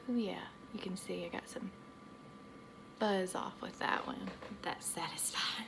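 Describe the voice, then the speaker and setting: A woman whispers at a fairly slow pace with a slight Southern US accent, leaving long, frequent pauses. Noticeable background noise and audible room echo come through. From US South. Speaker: aesthetician. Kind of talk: tutorial. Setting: home treatment room. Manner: rambling, casual.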